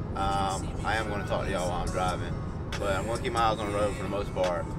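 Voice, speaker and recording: With clear music playing in the background, a man speaks. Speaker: sneaker vlogger. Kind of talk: casual vlog chat. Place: car. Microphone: phone near.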